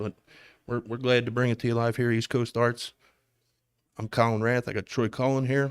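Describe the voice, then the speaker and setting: A man at a medium pitch with flat, monotone intonation and long, frequent pauses, recorded very cleanly against a silent background. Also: moderate pace, dry, close sound with no echo. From Philadelphia, US. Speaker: darts commentator. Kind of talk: live sports commentary. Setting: live stream at a darts tournament.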